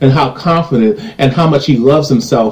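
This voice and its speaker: The speaker is a man with an American accent. He shows ordinary pitch variation. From United States. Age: 30s. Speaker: YouTube commentator. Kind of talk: reading comments with commentary. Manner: animated.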